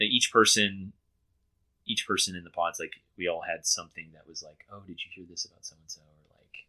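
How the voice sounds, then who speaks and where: A man with a Texan accent at a fairly quick pace. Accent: Texan American English. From Texas. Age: 30s. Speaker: reality TV contestant. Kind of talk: interview. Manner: hesitant, many fillers.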